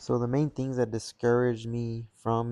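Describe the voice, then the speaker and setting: Speaking at a fairly slow pace, a man uses a medium pitch and a dark, mellow tone with monotone, flat intonation. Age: 20s. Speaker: cooking youtuber. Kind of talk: casual vlog talk to camera. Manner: low energy.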